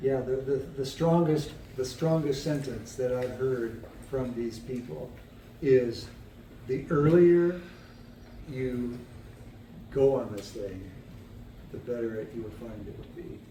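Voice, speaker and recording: In a room with audible echo, a man speaks at a fairly slow pace and a medium pitch, his somewhat breathy voice dark and mellow, with ordinary pitch variation, big swings in loudness and long, frequent pauses. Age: 70s. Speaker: person with cognitive decline sharing experience. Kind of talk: casual chat. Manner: halting.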